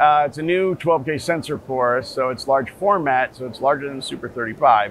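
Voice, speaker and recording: Fairly quick delivery with ordinary pitch variation, a dry sound with no echo, and light background noise. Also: man. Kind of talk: interview answer. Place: hall.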